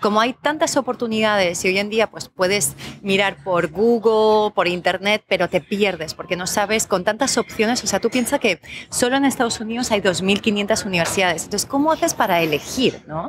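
A woman's medium-pitched voice with a Spanish accent, ordinary pitch variation and a moderate pace, in a dry, close sound with no echo. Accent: Spanish (Spain). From Colombia (Bogotá), raised abroad. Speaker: educational consultant. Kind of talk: interview. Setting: café.

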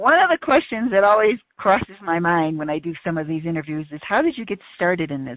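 A woman with a normal speaking voice talks at a fairly quick pace and fairly low pitch, with lively intonation, big swings in loudness and hardly any pauses. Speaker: podcast host. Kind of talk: interview questions.

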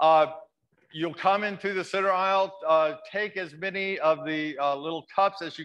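A man with a bright, sharp tone and ordinary pitch variation speaks over a quiet background. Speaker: pastor. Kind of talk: church welcome and announcements. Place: church.

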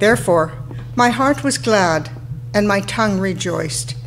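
A woman speaks with a very deep, low pitch and very wide pitch swings. Light background noise is present. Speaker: lay scripture reader. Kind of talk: scripture reading. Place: church. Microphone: podium.

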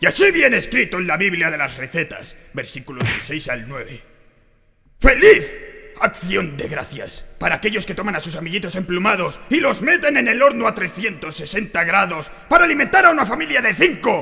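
Using a put-on character voice, a man speaks in a high pitch, raised and projected, with very wide pitch swings. His pace is moderate. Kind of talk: sermon. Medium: dub. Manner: impassioned, shouting.

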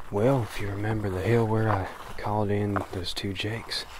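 A man speaks at a fairly low pitch, with noticeable noise in the background. The sound is dry, with no echo. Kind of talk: casual vlog chat. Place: forest. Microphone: phone near.

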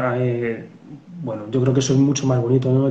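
A man speaks at a very fast pace. Room echo is audible. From Spain. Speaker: police officer and novelist; guest. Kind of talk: interview. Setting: video call. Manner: halting. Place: home room. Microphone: video call.

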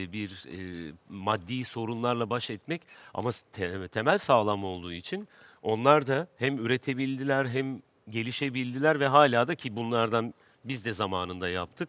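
A man speaks at a fairly slow pace with lively intonation, his voice dry and free of echo. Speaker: actor. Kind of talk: casual interview talk. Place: stage. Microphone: headset.

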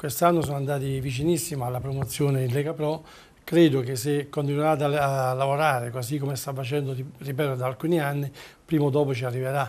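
Fairly high for a man, his voice stays monotone, with flat intonation. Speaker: football club president. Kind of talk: TV interview. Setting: TV studio.

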